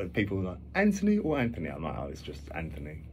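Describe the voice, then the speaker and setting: In a North London accent, a man with a very deep, low pitch talks at a fairly quick pace with lively intonation, and audible room echo surrounds his voice. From London, Finsbury Park. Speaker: musician. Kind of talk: radio interview. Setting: radio studio. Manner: halting.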